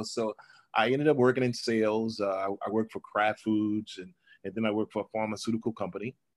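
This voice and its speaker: Speech comes at a very fast pace. The speaker has a New Orleans accent. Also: man. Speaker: entrepreneur and author. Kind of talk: interview.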